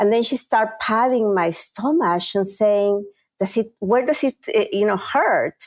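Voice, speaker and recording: A fairly slow delivery in a Peruvian accent, with a dry, close sound and no echo. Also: woman. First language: Spanish. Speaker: chief marketing officer. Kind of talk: interview.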